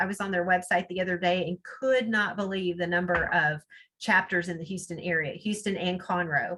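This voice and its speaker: Using an ordinary speaking voice, a woman talks at a moderate pace and medium pitch with ordinary pitch variation. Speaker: networking speaker, promotional products seller. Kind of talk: webinar talk with Q&A. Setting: video call.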